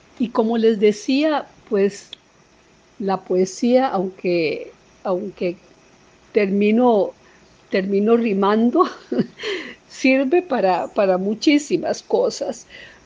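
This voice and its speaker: Pausing long and often at a very slow pace, a woman speaks with a fairly high pitch and lively intonation over noticeable background noise. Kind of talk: poetry reading, solemn and intimate, after a spoken introduction. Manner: measured, lyrical, slow and expressive.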